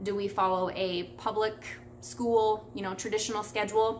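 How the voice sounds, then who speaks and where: Audible room echo carries a woman's fairly high voice, her intonation fairly even. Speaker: homeschooling mom vlogger. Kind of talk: casual vlog talk answering questions. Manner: fast; chatty.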